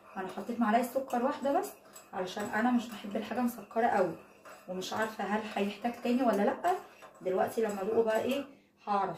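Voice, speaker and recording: Noticeable background noise sits behind this woman's voice. She talks at a fairly quick pace with a fairly high pitch. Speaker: product reviewer vlogger. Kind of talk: casual product review vlog. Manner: conversational, hesitant fillers.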